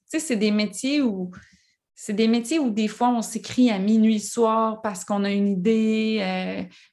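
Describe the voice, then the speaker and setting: At a very slow pace, a woman speaks in a fairly high pitch with a dark, mellow tone and fairly even intonation. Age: 40s. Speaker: author. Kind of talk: interview.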